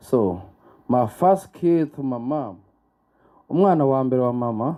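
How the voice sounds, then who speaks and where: A man with a Rwandan accent speaks at a fairly slow pace with lively intonation. His voice sits at a medium pitch with a dark, mellow tone. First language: Kinyarwanda. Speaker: book launch guest speaker. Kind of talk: speech with interpreter. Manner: halting.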